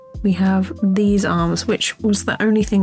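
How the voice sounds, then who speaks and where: A woman's voice moves at a moderate pace. Behind her, music can be heard. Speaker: animator. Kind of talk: software tutorial walkthrough.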